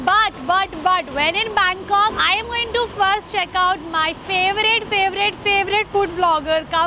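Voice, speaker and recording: A raised, projected voice moves at a moderate pace. The sound is dry with no echo, and background noise is noticeable. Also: woman. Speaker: food vlogger. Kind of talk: casual vlog chat. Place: street. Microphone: phone near.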